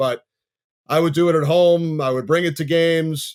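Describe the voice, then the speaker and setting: A man with an ordinary speaking voice talks at a fairly high pitch with fairly even intonation on a very clean recording with a silent background. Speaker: sports play-by-play announcer. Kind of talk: podcast interview.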